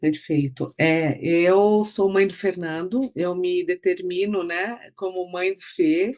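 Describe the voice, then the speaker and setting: Talking very slowly with hardly any pauses, a woman uses a medium pitch with ordinary variation while her loudness swings widely. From Brazil, São Paulo city, raised in interior São Paulo. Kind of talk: interview conversation. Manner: halting, many fillers and repetitions.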